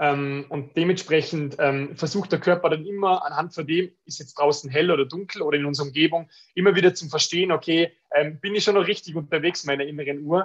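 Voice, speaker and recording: Talking very fast with an Austrian accent, a man uses a fairly high pitch and fairly even intonation while his loudness swings widely. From Austria, Tyrol (Innsbruck). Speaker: business owner selling blue-light glasses. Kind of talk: podcast interview.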